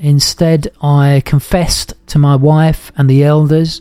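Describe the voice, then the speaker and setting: A fairly high-pitched man with a dark, mellow tone and monotone, flat intonation, in a dry, close sound with no echo. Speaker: podcast host. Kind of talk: personal testimony narration. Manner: hesitant with fillers.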